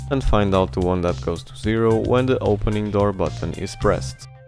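There is music in the background. The man's voice is very deep and low in pitch. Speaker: DIY electronics reviewer. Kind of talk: tutorial narration.

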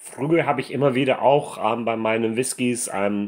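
Over a quiet background, a man speaks at a medium pitch. His intonation is fairly even. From United States. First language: English (speaking German). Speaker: whisky reviewer. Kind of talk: product review. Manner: halting, many fillers. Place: home room.

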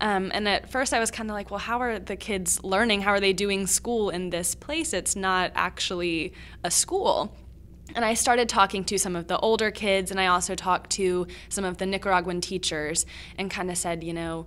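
A woman with an American accent talks at a moderate pace, her medium pitch showing ordinary variation in a plain, everyday voice. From Virginia, US. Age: 20s. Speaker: student podcast co-host. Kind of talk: educational podcast discussion.

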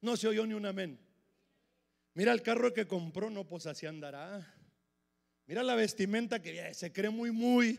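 A man with a high-pitched voice talks in an animated tone at a fairly slow pace, with ordinary pitch variation and big swings in loudness. He leaves long, frequent pauses, and the background is quiet. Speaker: preacher. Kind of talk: sermon. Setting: church with congregation. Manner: animated, emphatic; repetitive, punchy, with frequent 'hermano'. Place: church. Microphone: handheld.

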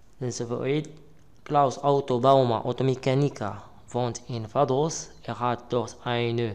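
Very slowly, a man talks at a medium pitch with fairly even intonation. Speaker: language teacher. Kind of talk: lesson/tutorial. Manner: halting.

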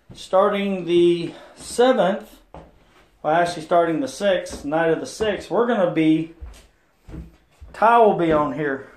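With audible room echo, a man talks at a fairly slow pace in a high pitch, using ordinary pitch variation and long, frequent pauses. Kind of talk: casual vlog chat. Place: bathroom. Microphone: phone near.

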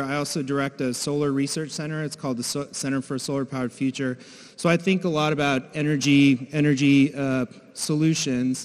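A man's intonation holds fairly even. He goes along at a fairly quick pace. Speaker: conference presenter. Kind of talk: conference talk. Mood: relaxed, lightly humorous. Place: hall. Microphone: handheld.

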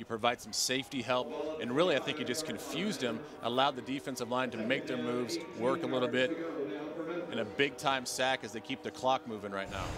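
Fairly quick speech from a man at medium pitch, with ordinary pitch variation over noticeable background noise. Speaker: color commentator. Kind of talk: live sports commentary. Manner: analytical, conversational, slightly hesitant.

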